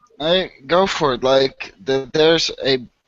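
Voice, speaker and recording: A man with music in the background. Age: 20s. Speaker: online hangout host. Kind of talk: casual chat.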